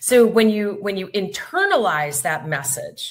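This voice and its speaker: A woman talks at a moderate pace in a medium pitch with lively intonation. Hers is an unremarkable speaking voice. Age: 50s. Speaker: podcast host. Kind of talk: casual chat.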